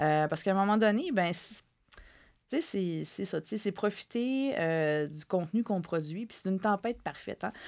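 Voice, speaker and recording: A woman speaks at a medium pitch with lively intonation and big swings in loudness. The recording is very clean, with a silent background. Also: fairly slow pace. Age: 30s. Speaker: journalist and author. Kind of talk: interview.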